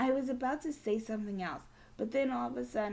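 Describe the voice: The words are read aloud. The delivery is plain.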